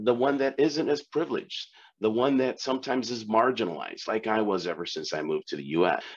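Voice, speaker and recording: Speaking at a fairly quick pace, a man with a medium pitch shows vocal fry and very wide pitch swings. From Peru-born, raised in Chicago from age eight. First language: Spanish. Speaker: corporate diversity executive. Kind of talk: interview.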